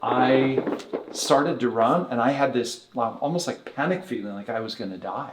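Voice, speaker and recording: The man's intonation is lively throughout. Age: 60s. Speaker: chiropractor and technique director. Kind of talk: interview.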